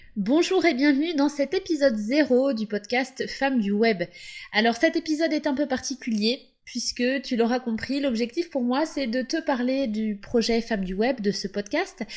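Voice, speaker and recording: The recording is very clean, with a silent background. A woman speaks fairly slowly in a high voice with lively intonation. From western France, Loire-Atlantique. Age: 30s. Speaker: podcast host, SEO consultant. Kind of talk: podcast monologue. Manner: casual.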